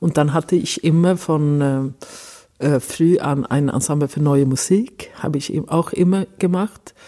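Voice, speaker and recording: A woman's dark, mellow voice with a Swedish accent, at a fairly slow pace with ordinary pitch variation. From Sweden, Stockholm. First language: Swedish (speaking German). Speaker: cellist. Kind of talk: interview. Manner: halting.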